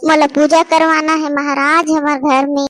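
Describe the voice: Using a cartoonish character voice, a woman speaks at a high pitch and moderate pace in a monotone, flat intonation.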